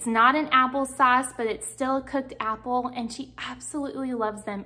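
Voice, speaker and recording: A woman's high voice with ordinary pitch variation, at a moderate pace. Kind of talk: casual cooking vlog chat. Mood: warm, cheerful. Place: kitchen.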